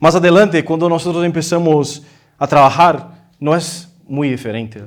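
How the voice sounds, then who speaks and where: With a non-native accent, a man speaks at a high pitch with ordinary variation and a fairly slow pace. The recording is very clean, with a silent background. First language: Portuguese (speaking Spanish). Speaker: visiting preacher. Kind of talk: sermon. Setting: church. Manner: halting, many fillers.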